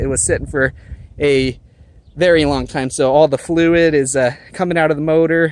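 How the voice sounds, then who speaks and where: A man mumbles at a moderate pace. His intonation stays fairly even. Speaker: car hobbyist vlogger. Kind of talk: casual vlog walkaround. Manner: mumbling, self-correcting; stuttering, halting.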